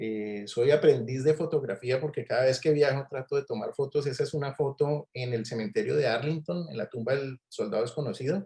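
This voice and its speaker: Fairly quick and somewhat breathy, a man speaks with hardly any pauses and ordinary pitch variation. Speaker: physician and clinical researcher. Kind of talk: online talk. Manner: hesitant, many fillers.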